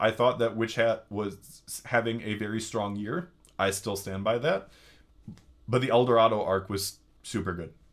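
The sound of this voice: A man puts on a hoarse, loud character voice at a medium pitch with ordinary pitch variation. His pace is moderate, broken by long, frequent pauses.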